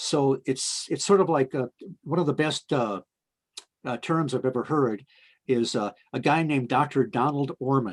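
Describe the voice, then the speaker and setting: With a quiet background, a man talks at a moderate pace and medium pitch, using ordinary pitch variation. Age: 60s. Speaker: paranormal researcher. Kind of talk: interview. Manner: halting, many fillers.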